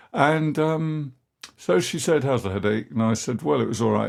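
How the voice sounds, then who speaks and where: A man with an English accent speaks at a moderate pace with lively intonation in a very clean recording with a silent background. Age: 70s. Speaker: podcast host. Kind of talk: personal monologue. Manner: conversational, many fillers.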